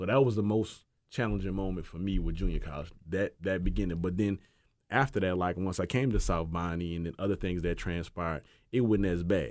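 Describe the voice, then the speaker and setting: A man with a New Orleans accent talks at a fairly quick pace with very deep, low pitch. Ordinary pitch variation runs through it against a quiet background. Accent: New Orleans accent, noticeable. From New Orleans, Louisiana. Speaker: former football player. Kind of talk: casual chat. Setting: studio.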